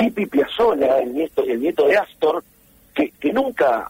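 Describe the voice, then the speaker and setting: With a Rioplatense accent, a man talks at a fairly slow pace with very wide pitch swings, the sound dry and close with no echo. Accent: Argentine Rioplatense Spanish. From Junín, Buenos Aires province, Argentina. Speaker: musician and record producer. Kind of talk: interview.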